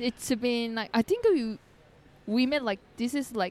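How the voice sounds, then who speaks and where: Her pitch is high, and the woman speaks at a fairly slow pace. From South Korea. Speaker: podcast guest. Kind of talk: casual interview. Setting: cafe with traffic noise. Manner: halting.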